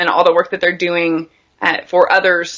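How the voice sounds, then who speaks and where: Loud and fairly quick, this voice has a bright, sharp tone. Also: woman. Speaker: military spouse and video creator. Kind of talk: casual interview chat.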